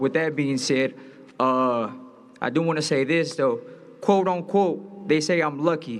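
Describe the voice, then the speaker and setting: Audible room echo surrounds a man who speaks slowly, though not extremely so, in a fairly high pitch. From Los Angeles. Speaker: boxer. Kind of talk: press conference speech. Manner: animated.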